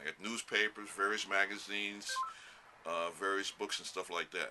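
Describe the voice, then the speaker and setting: Over noticeable background noise, a man speaks at a moderate pace in a fairly low pitch with fairly even intonation. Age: 70s. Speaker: comic collector in line. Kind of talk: street interview.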